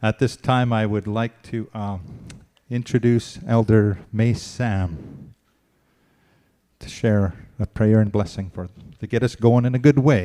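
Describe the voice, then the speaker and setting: A man with a dark, mellow tone speaks at a fairly low pitch and fairly slow pace, with ordinary pitch variation. His loudness swings widely, and he takes long, frequent pauses. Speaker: event moderator. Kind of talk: event moderation.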